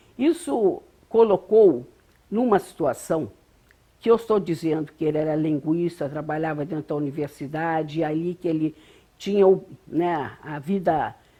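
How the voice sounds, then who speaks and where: A woman speaks with a dark, mellow tone and a fairly low pitch. Her pace is fairly slow, with ordinary pitch variation. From Brazil, Rio de Janeiro. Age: 70s. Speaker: interviewee recounting life story. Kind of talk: oral history interview. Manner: hesitant, frequent fillers.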